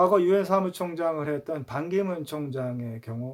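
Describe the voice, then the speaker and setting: The man's pitch is fairly high and his intonation lively. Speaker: YouTuber on English language. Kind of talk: casual talk to camera. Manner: hesitant, many fillers.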